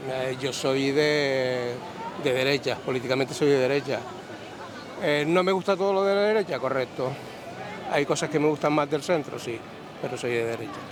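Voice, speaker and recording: Over crowd noise, a man with a Canarian accent speaks with ordinary pitch variation and long, frequent pauses. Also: fairly high pitch for a man, moderate pace. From Canary Islands. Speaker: passerby interviewed on the street. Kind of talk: street interview. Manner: halting, repeats words.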